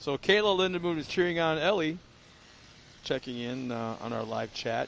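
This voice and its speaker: Speaking at a moderate pace, a man has a normal speaking voice, fairly high in pitch, with lively intonation. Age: 60s. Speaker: race commentator. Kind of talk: live race commentary.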